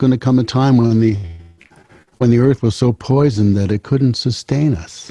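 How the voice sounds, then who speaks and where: This man has a dark, mellow tone and a medium pitch, recorded with a dry, close sound and no echo. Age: 70s. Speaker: singer-songwriter. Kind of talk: casual chat. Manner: halting, repeats words.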